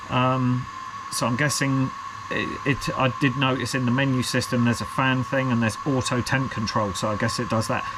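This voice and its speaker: A man with a British accent speaks at a moderate pace. Audible room echo and noticeable background noise surround his voice. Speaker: FPV drone hobbyist youtuber. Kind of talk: unboxing video, casual solo talk. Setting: at a workbench, alone. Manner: rambling, hesitant with many fillers.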